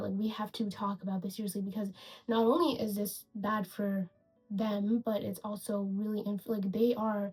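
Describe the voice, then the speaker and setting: At a fairly quick pace, the speaker uses an animated tone over noticeable background noise. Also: woman. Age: 20s. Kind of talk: casual video essay rant to camera. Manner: casual, animated.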